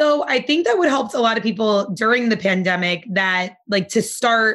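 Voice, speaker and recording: Her tone bright and sharp, a woman speaks at a fairly high pitch with ordinary pitch variation. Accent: American. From New Jersey (Nutley). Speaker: yoga instructor. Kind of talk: casual chat.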